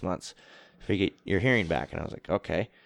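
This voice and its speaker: A man talking very fast against a quiet background, the sound dry and close with no echo. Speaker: touring metal drummer. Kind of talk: casual chat. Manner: mumbling; not loud.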